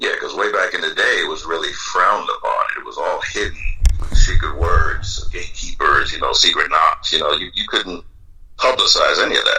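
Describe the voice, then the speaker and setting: Over noticeable background noise, a man uses a raised, projected voice at an extremely high pitch and a moderate pace. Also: ordinary pitch variation. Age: 60s. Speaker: retired police officer and BDSM dominant. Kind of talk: casual interview.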